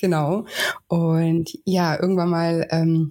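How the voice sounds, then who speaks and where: Very slow, fairly low-pitched delivery from a woman. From southern Germany, Lake Constance and Westerwald. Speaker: weight-loss coach. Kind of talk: interview conversation.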